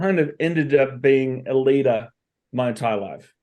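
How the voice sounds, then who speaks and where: A man with an Australian accent, fairly high-pitched, at a fairly slow pace with ordinary pitch variation. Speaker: entrepreneur and consultant. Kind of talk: podcast interview.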